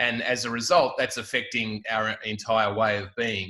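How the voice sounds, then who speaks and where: Medium-pitched male voice, bright and sharp in tone, flat and monotone in intonation. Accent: Australian. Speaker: filmmaker, roundtable participant. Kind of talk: roundtable discussion.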